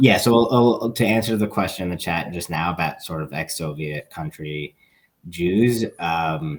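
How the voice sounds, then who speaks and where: A man with an American accent, a very deep, low pitch, moderate pace and ordinary pitch variation. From Long Island, New York. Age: 30s. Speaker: activist. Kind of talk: Q&A talk on a video call. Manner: hesitant, many fillers and repetitions.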